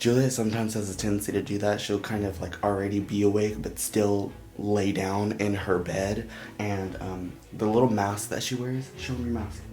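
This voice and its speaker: With music in the background and audible room echo, a man of fairly low pitch talks with fairly even intonation. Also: moderate pace. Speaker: vlogger, young father. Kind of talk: casual vlog. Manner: quiet, talking low.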